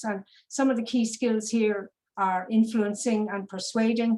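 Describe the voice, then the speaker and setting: A woman with an Irish accent speaks at a fairly high pitch in a monotone, flat intonation, somewhat breathy. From Ireland. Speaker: business psychologist. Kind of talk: presentation. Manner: hesitant, many fillers and repetitions.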